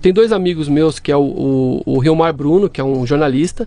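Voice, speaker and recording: A man speaks at a moderate pace in a fairly high voice with ordinary pitch variation, and noticeable background noise is present. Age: 40s. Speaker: systems analyst and fact-checking site owner. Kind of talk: casual interview chat.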